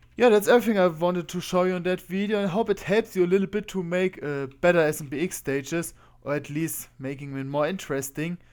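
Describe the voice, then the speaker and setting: A man with a German accent speaks at a high pitch. He talks very fast with hardly any pauses. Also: ordinary pitch variation, very clean recording, silent background. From Germany. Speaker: video game content creator. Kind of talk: tutorial.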